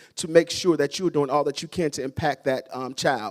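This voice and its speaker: With a Southern US accent and ordinary pitch variation, a man talks in a very clean recording with a silent background and a dry, close sound with no echo. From US South. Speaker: school principal. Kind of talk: ceremony speech. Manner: fast.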